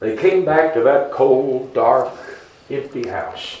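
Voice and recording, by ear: The text is read out in a natural voice.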